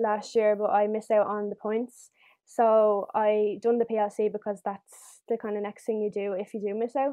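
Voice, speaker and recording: A woman with a Dublin accent, fairly high pitch and monotone, flat intonation at a moderate pace. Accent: Dublin Irish. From Ireland, Dublin. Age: 18. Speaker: former young carer, nursing student. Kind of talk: casual chat.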